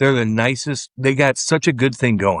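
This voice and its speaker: A man with an American accent speaks at a medium pitch with ordinary pitch variation. The sound is dry and close with no echo, over a quiet background. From Missouri, US Midwest. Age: 40s. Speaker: former hockey player and podcaster. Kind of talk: interview. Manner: animated.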